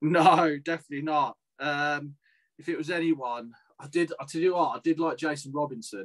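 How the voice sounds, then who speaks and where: At a moderate pace, a man with a fairly high pitch speaks in a normal speaking voice with ordinary pitch variation. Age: 30s. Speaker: ex rugby league player and aspiring boxer. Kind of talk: casual chat.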